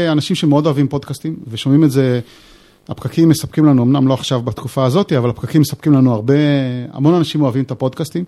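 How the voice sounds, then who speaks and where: Here a man talks at a very fast pace in a fairly high voice. His tone is dark and mellow, with ordinary pitch variation. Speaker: software developer and author. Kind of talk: casual chat.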